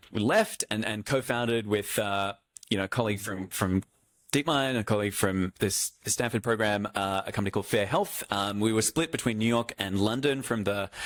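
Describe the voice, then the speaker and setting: A man with an Australian accent at fairly low pitch and a fairly quick pace, with fairly even intonation, dry and close with no echo, on a very clean recording with a silent background. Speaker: healthcare AI executive, former doctor. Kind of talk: fireside chat with audience. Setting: stage with audience. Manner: hesitant, repeats words; rambling, casual.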